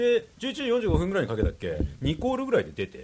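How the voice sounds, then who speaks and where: A man is speaking. His pace is fairly quick. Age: middle-aged. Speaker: podcast host. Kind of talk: casual chat.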